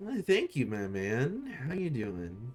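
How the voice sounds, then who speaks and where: Faint music plays behind a man doing a put-on character voice at a medium pitch. He drawls at a fairly slow pace, his pitch swinging very widely. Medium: actual play. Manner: laid-back, drawling, says "man" a lot.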